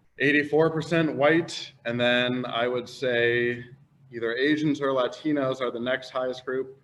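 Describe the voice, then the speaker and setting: A man with an American accent speaks at medium pitch with fairly even intonation amid noticeable background noise. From US Midwest, Cleveland Heights, Ohio. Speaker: high school English teacher, panelist. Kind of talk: panel discussion. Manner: loud.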